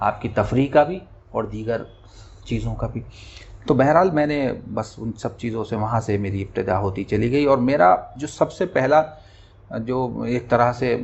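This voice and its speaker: The voice has vocal fry and an ordinary amount of pitch variation. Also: man, medium pitch for a man. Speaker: humorous Urdu poet. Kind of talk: interview.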